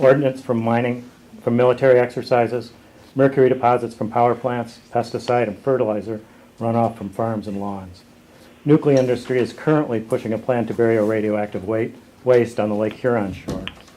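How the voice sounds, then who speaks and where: In a normal speaking voice, a man talks at a medium pitch and a fairly quick pace with fairly even intonation. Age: 60s. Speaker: writer and photographer, canoeist. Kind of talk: prepared statement at a press conference. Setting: press conference call. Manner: formal.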